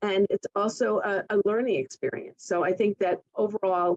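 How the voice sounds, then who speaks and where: A woman with an American accent and a normal speaking voice, at a medium pitch and moderate pace, with fairly even intonation and a dry, close sound with no echo. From Connecticut, US. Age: 60s. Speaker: real estate broker manager. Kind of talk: podcast interview.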